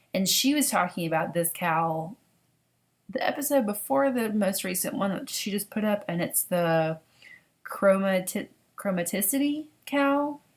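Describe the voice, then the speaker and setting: A woman with a Southern US accent speaks at a fairly slow pace in a medium, somewhat breathy voice, her pitch swinging very widely. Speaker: knitting podcaster. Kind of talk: casual vlog monologue. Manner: chatty, halting with fillers.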